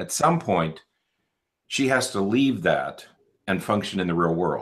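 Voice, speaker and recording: A man speaks fairly slowly, the background quiet. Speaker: clinical psychologist, podcast host. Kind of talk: casual podcast conversation. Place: studio.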